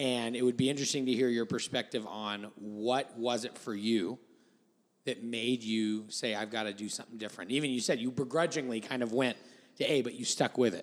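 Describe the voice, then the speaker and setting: This man talks at a fairly quick pace, his pitch medium. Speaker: pastor, podcast co-host. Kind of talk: interview conversation. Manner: enthusiastic.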